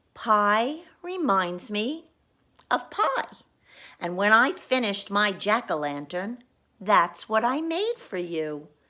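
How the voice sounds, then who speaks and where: A female-sounding voice, medium in pitch, performs a put-on character voice at a fairly slow pace. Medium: read story. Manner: absent-minded.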